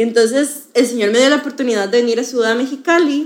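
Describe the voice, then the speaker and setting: This is a woman speaking. Her pitch is high. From Costa Rica. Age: 20s. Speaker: university student. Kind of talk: testimony.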